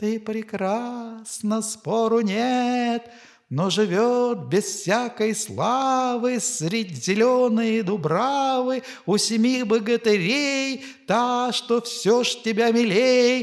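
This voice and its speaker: Drawing out his words at a very slow pace, a man puts on a character voice with an extremely high pitch. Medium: read story.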